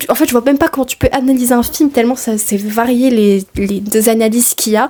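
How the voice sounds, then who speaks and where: A woman speaks in a relaxed tone. Her pitch is fairly high, with ordinary variation. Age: 20s. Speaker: film studies graduate. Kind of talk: casual talk to camera. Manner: relaxed, chatty.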